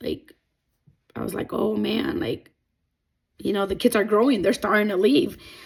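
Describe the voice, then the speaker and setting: A woman with a non-native accent speaks at medium pitch with ordinary pitch variation and vocal fry. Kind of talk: personal testimony talk to camera.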